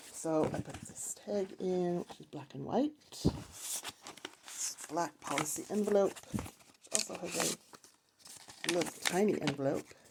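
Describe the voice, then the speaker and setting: Speech comes at a very slow pace. Noticeable background noise is present. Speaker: crafter showing a handmade journal. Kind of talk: craft flip-through video. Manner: casual and chatty.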